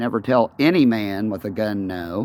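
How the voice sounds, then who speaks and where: This loud voice has lively intonation. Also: man. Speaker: vlogger. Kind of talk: rant.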